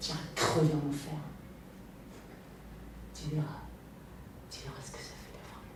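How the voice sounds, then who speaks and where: A woman speaking at a fairly slow pace, with long, frequent pauses and noticeable background noise. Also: big swings in loudness. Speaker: actress. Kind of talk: acting showreel with dramatic scenes. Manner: angry, raw, confrontational, emotional.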